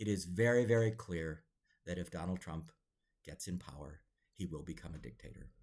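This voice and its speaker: A man's very deep, low voice with vocal fry, ordinary pitch variation, and long, frequent pauses. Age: 70s. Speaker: writer and vlogger. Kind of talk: personal video monologue. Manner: casual with frequent fillers.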